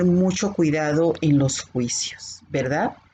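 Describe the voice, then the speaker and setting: A woman speaks with ordinary pitch variation. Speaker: bible teacher. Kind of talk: bible class. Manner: can sound stern or scolding.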